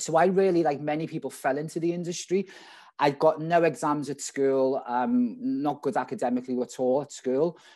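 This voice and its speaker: Against a quiet background, a man with a strong Scouse accent speaks in a dark, mellow tone at a fairly high pitch and moderate pace, with lively intonation. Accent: strong Liverpool (Scouse). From Liverpool, England. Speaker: restaurant general manager. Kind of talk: conference talk. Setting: video call. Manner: casual.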